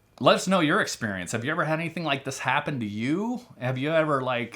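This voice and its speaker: A man's voice with lively intonation, in a very clean recording with a silent background. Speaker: doctor and channel host. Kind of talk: casual chat. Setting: recording with his wife. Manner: loud; halting.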